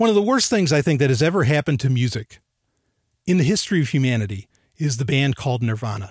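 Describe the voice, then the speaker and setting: Delivered at a very fast pace, the somewhat breathy voice makes very wide pitch swings in a dry, close sound with no echo. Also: man. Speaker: podcast host. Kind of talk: casual chat. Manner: animated, intense; casual, rambling.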